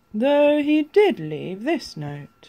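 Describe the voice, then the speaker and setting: Doing a put-on character voice, a man speaks at an extremely high pitch with very wide pitch swings. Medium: read story. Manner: warm, friendly.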